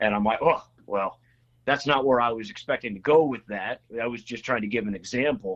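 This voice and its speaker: With an American accent, a man talks at a fairly quick pace in a plain, everyday voice. His pitch is medium, with ordinary pitch variation. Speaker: state legislator. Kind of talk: casual interview chat. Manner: filler-heavy, repetitive.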